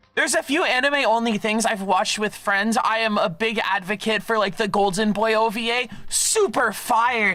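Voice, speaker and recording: A man speaks in a raised, projected voice at a high pitch, with an animated tone and ordinary pitch variation. His loudness stays very even at a moderate pace with hardly any pauses, over noticeable background noise. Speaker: vtuber streamer. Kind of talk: casual chat.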